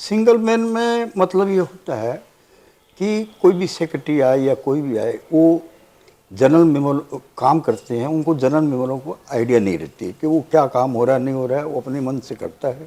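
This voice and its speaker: With very wide pitch swings, a man speaks at a moderate pace in a fairly high voice with a dark, mellow tone. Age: 60s. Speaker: election candidate. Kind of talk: interview.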